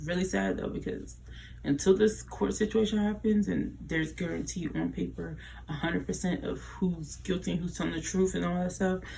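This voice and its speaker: A quiet woman at a fairly quick pace, with audible room echo around her voice. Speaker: YouTuber commenting on celebrity drama. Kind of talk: casual commentary vlog. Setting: at home late at night. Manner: quiet, low voice.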